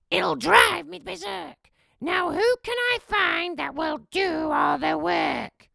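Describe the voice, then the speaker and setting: A put-on character voice, high, shrill and raspy, drags along at a very slow pace. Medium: read story. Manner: snappish, commanding.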